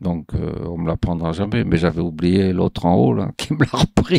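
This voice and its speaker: A man speaks at a fairly quick pace with a very deep, low pitch, in a dry, close sound with no echo. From southern France, Marseille. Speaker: retiree telling his life story. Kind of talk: life-story testimony. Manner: casual, hesitant with fillers.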